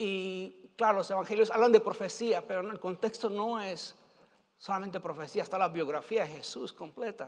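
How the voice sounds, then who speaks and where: With quiet surroundings, the man's pitch varies in an ordinary way. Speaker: preacher or Bible teacher. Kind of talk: sermon. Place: stage.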